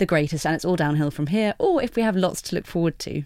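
Recorded very cleanly against a silent background, a woman uses an unremarkable speaking voice with a fairly low pitch and ordinary pitch variation. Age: 30s. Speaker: podcast host. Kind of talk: casual chat. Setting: studio.

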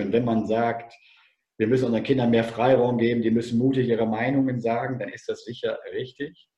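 Somewhat breathy and dark, mellow in tone, a man's medium-pitched voice holds a monotone, flat intonation. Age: 50s. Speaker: former teacher and tennis coach. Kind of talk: podcast interview.

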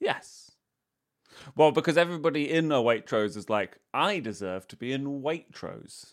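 Recorded very cleanly against a silent background, a man with an unremarkable speaking voice and fairly high pitch talks at a moderate pace, his loudness swinging widely. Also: lively intonation. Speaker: comedian and podcast co-host. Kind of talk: casual comedic banter in a quiz game show.

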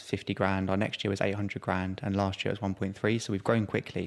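With a London accent, a man speaks at a very fast pace in a fairly low pitch and a monotone, flat intonation. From South East London. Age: 20s. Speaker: startup founder. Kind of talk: interview.

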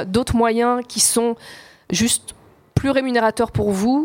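A woman speaks in an ordinary speaking voice, fairly high-pitched, at a fairly slow pace with fairly even intonation. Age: 40s. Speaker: journalist and author. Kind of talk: live panel discussion. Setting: stage with audience.

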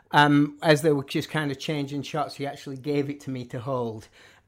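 On a very clean recording with a silent background, a man talks at a fairly quick pace in a fairly high pitch. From northern England. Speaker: music journalist and author. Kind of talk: casual interview conversation. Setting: studio. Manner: halting, many false starts and repetitions.

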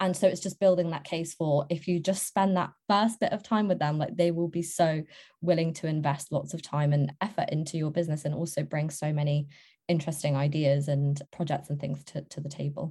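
On a very clean recording with a silent background, a woman with a British accent talks at a fairly quick pace in a very deep, low pitch, her tone dark and mellow, somewhat breathy, with fairly even intonation. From Serbia, moved to UK at eight. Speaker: recruiter. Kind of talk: interview.

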